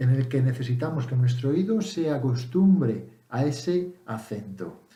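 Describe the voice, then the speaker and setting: Very slowly and somewhat breathily, a man speaks at a fairly high pitch with a dark, mellow tone and lively intonation, and the room echo is audible. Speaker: English teacher vlogger. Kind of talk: casual tutorial. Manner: hesitant, with fillers and self-corrections.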